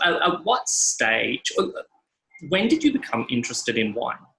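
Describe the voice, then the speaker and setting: The speaker is a man with an Australian accent. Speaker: podcast host. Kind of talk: casual chat.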